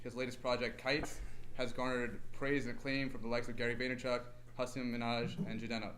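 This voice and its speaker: A man speaks very fast at a medium pitch, in a monotone with flat intonation. Audible room echo surrounds his voice. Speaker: podcast host. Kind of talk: live podcast interview. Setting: live podcast on a university campus with audience. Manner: shaky, vibrating voice.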